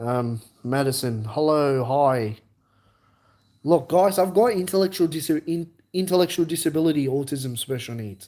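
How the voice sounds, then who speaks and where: Against a silent background in a very clean recording, a man with a dark, mellow tone and fairly high pitch speaks at a moderate pace with lively intonation. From Australia. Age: 20s. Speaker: live streamer. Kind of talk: live stream chat. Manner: halting.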